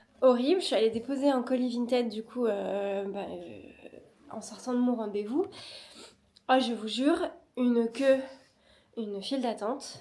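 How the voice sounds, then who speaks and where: With a dark, mellow tone, a woman speaks at a high pitch and fairly slow pace, showing ordinary pitch variation, big swings in loudness, and long, frequent pauses. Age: 30s. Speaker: vlogger and illustrator. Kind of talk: casual vlog talk to camera. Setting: outdoors in the cold. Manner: soft-spoken; hesitant, many fillers.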